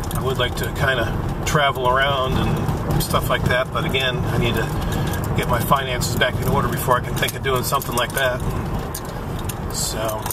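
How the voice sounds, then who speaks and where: The background noise is loud, though the sound itself is dry with no echo. Speech moves at a moderate pace. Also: man. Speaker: vlogger driving. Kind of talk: casual vlog chat. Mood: reflective, subdued. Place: car. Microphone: phone near.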